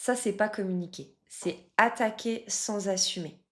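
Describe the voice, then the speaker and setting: At a fairly slow pace, a woman speaks with a strong French accent at a medium pitch. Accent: strong French accent (when speaking English). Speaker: love coach. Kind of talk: casual coaching talk to camera.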